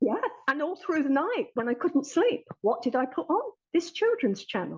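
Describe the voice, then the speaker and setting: A woman with an English accent speaks at a moderate pace in a high voice with very wide pitch swings. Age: 60s. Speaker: therapy client. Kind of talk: testimony.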